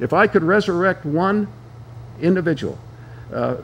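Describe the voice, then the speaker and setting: The man speaks at a fairly slow pace. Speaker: political activist and former candidate. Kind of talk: interview talk show discussion. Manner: halting, many fillers and restarts.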